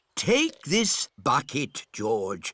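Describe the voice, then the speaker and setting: A cartoonish character voice with a warm tone at a fairly slow pace, over faint music in the background. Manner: warm, indulgent.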